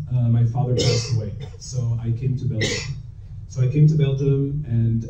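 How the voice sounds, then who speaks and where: A man with an American accent speaks at a medium pitch and a moderate pace, in a monotone, flat intonation. There is audible room echo and noticeable background noise. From US, New York City. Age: 20s. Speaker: startup founder. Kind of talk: panel talk at live event.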